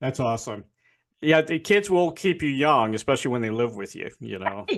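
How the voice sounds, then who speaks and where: A man with a plain, everyday voice, medium pitch, lively intonation and a fairly quick pace. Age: 60s. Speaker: interview host. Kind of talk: interview. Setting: video call. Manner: casual.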